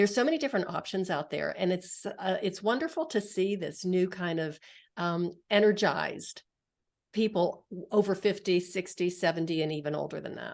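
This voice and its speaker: A woman talks in a plain, everyday voice at a medium pitch. Her pitch varies in an ordinary way at a moderate pace, over a quiet background. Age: 60s. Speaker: podcast host. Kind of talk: interview podcast.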